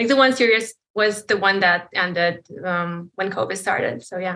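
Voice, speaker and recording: Using a bright, sharp tone and lively intonation, a woman talks at a moderate pace with an American accent. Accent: sounds American. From Poland. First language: Polish. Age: 30s. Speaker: caller. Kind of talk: advice call conversation.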